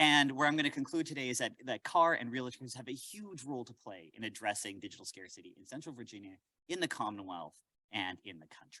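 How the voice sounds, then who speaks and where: A man with a Canadian accent, very fast pace, medium pitch, bright and sharp tone, lively intonation and big swings in loudness. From Canada, Winnipeg. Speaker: professor. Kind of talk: lecture. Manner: animated.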